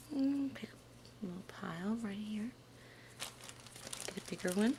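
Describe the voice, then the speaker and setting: A soft-spoken woman talks in a gentle tone. Noticeable background noise runs underneath. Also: medium pitch for a woman, ordinary pitch variation. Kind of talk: ASMR soft-spoken soapmaking demonstration. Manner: gentle, soft-spoken.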